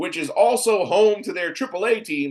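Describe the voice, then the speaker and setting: A loud, shouting man with an animated tone, very wide pitch swings and a fairly quick pace. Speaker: sports podcast host. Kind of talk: opinionated sports commentary. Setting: home studio. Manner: loud, yelling.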